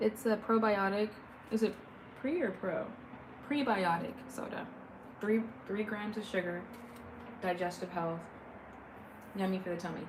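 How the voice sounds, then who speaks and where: With a West Coast US accent, a woman at medium pitch speaks in an animated tone at a moderate pace, leaving long, frequent pauses, amid audible room echo and noticeable background noise. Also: ordinary pitch variation. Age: 30s. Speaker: livestreamer. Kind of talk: casual chat. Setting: live stream.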